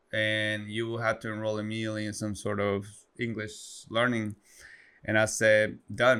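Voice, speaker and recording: Speaking at a moderate pace with a Spanish accent, a man has a fairly low, bright, sharp voice on a very clean recording with a silent background. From Guatemala. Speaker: coffee entrepreneur. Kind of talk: interview storytelling. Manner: energetic.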